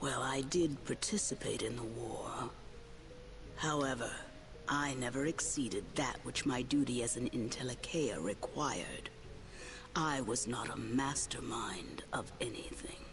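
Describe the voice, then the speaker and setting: A put-on character voice at a low-to-middle pitch and moderate pace, with loud background noise. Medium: video game. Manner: formal, archaic, measured.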